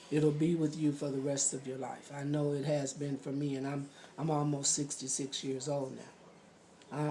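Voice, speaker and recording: A woman's very deep, low voice in a flat monotone, at a moderate pace with hardly any pauses and audible room echo. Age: 60s. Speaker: interviewee sharing abuse story. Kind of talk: testimony.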